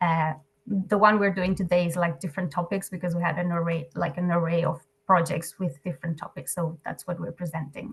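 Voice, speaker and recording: With a Catalan accent, a woman talks at a fairly quick pace. Her fairly low voice is somewhat breathy, with fairly even intonation. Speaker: NGO program staff presenting. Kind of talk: webinar presentation. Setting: video call. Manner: hesitant, filler-heavy.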